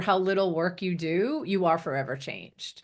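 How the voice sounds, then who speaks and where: Against a quiet background, an unremarkable speaking voice talks at a moderate pace. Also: woman. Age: 60s. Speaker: transformational coach. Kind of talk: interview conversation. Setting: radio show.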